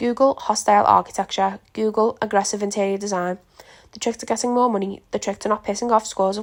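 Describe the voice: Text is read out plainly. Nothing more is done with the reading.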